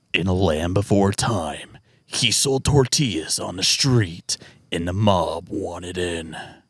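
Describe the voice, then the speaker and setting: Using a put-on character voice, a man speaks at a fairly slow pace and a very deep, low pitch. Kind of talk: cinematic, announcer-like. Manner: dramatic.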